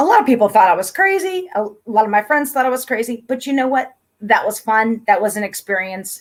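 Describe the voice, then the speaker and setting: Against a silent background in a very clean recording, a woman with an American accent speaks at a fairly high pitch with lively intonation. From Pennsylvania, US. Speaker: YouTube host, interviewer. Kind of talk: casual chat.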